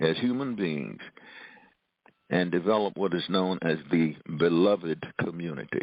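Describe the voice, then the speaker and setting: A man talks at a fairly slow pace with long, frequent pauses. His very deep, low pitch shows ordinary variation. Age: 80s+. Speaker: author and professor. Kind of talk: interview.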